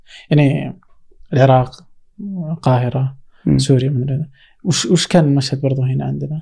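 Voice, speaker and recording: This man's voice sits at a medium pitch, somewhat breathy, with a dark, mellow tone and monotone, flat intonation, broken by long, frequent pauses. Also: fairly slow pace. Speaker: podcast host. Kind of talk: interview conversation.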